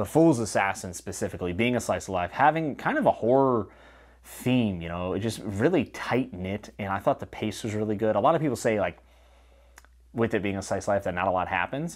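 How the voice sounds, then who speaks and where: A man with a fairly low pitch and lively intonation talks at a fairly quick pace over a quiet background. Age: 30s. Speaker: booktuber reviewing fantasy novels. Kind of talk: solo video review. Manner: casual and conversational. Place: home room. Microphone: lapel.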